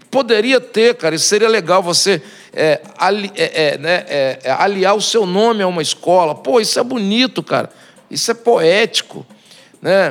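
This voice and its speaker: This speaker moves at a moderate pace and uses ordinary pitch variation. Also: man, high pitch for a man. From Brazil, Espírito Santo. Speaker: samba composer and singer. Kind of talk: casual chat. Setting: bar.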